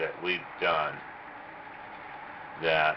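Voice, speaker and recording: Noticeable background noise sits under the recording. A man talks at a very slow pace. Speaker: cattle worker, rodeo. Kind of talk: interview answer.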